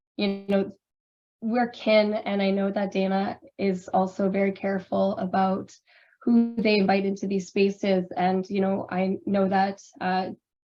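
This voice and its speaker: A woman's medium-pitched voice, monotone and flat, at a fairly slow pace, with music in the background. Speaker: drag performer and curator. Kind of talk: panel discussion. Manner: halting, many fillers.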